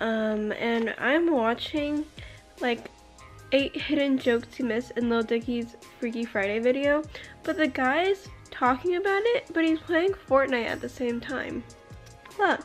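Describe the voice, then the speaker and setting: Over faint music in the background, a high-pitched woman speaks at a fairly slow pace with long, frequent pauses. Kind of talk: casual vlog chat. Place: home room. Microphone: phone near.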